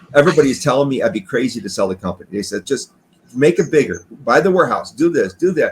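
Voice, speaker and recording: A man talks at a very fast pace with very wide pitch swings. Vocal fry runs through his voice. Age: 60s. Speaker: retired garage door business owner. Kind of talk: interview. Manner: halting.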